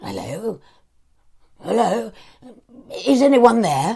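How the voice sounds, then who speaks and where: Doing a put-on character voice, a man sounds raspy and high-pitched, with lively intonation at a fairly slow pace. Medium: read story. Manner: halting, emotional.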